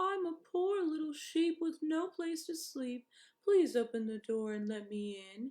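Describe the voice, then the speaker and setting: A put-on character voice is used. It moves at a moderate pace. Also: woman, extremely high pitch for a woman. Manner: feigning innocence, pleading.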